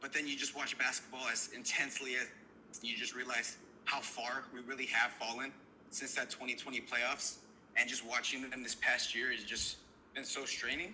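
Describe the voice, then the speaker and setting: Noticeable background noise runs behind this recording. A man talks at a moderate pace with a medium pitch and a monotone, flat intonation. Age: 20s. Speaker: caller. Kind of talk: phone-in chat. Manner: halting.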